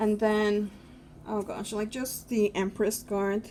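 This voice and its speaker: At a very slow pace, a woman with a non-native accent speaks in a dark, mellow tone with monotone, flat intonation. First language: not English. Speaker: tarot youtuber. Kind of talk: casual product review.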